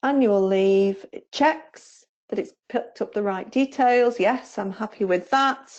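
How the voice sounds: A woman with a Staffordshire accent, medium pitch, slightly mellow tone, ordinary pitch variation and a fairly slow pace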